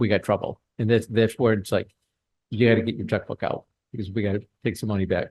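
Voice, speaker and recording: This man talks at a very fast pace in a fairly low, somewhat breathy voice. His intonation is monotone and flat, and the sound is dry and close with no echo. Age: 60s. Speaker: state grant program official. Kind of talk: training presentation. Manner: casual, halting with fillers.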